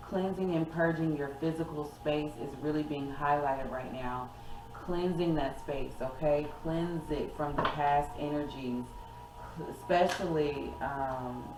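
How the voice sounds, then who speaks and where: A woman with a very deep, low pitch talks at a fairly slow pace with fairly even intonation, amid audible room echo and noticeable background noise. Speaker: tarot reader. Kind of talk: tarot reading.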